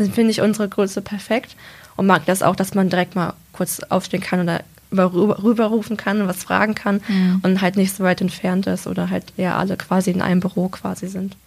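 A woman talks at a fairly quick pace in a medium pitch. Her intonation is monotone and flat. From Lower Saxony, Germany (Braunschweig/Salzgitter). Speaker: apprentice in industrial business administration. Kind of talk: casual interview.

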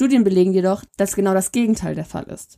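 A woman talks at a fairly quick pace with a medium pitch and ordinary pitch variation. Her tone is dark and mellow. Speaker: podcast co-host. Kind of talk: casual chat; reading aloud.

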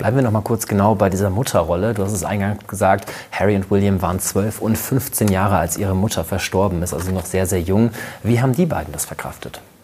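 Noticeable background noise fills the recording. The speech runs at a very fast pace. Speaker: talk show host. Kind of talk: conversational talk show.

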